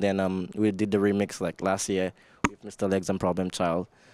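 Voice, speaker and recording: A speaker with a Saint Lucian accent talks at a moderate pace. The sound is dry with no echo, over a quiet background. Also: man. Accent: St. Lucian English. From St. Lucia. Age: 20s. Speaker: soca singer and producer. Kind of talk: casual interview. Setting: radio studio. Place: studio. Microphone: handheld.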